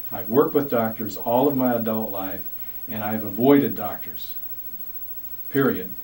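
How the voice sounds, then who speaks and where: A man speaks at a medium pitch. Noticeable background noise and audible room echo surround his voice. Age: 60s. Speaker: community leader. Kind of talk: interview testimony. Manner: halting.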